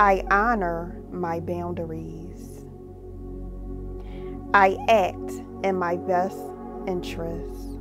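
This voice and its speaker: Over music in the background, a woman speaks in a calm tone at a very slow pace, leaving long, frequent pauses. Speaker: meditation guide, mindset coach. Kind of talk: guided meditation with affirmations. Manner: calm, slow, paced with long pauses.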